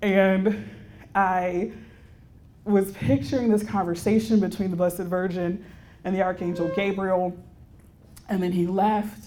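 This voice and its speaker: A woman's medium-pitched voice, dark and mellow in tone, at a fairly slow pace with fairly even intonation and long, frequent pauses. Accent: Texan. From Texas, Houston. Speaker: religious sister and counselor. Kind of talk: retreat keynote talk.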